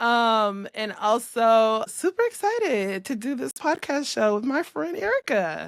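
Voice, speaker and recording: A woman with an American accent speaks in an unremarkable speaking voice, fairly high-pitched, with lively intonation, at a fairly slow pace with hardly any pauses. The sound is dry and close with no echo, on a very clean recording with a silent background. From US West Coast, Los Angeles. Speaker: podcast co-host, business owner. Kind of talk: casual chat.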